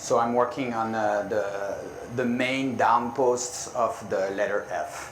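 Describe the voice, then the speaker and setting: Speaking at a very slow pace with a French accent, a man is heard with audible room echo and noticeable background noise. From France. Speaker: glass artist. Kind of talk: live demonstration. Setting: conference demo stage with audience. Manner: halting.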